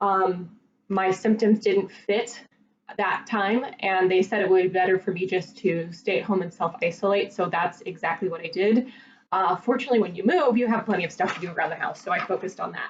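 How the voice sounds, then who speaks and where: Using a normal speaking voice at medium pitch, a woman talks at a fairly quick pace with ordinary pitch variation and big swings in loudness. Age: 30s. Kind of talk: casual talk to camera.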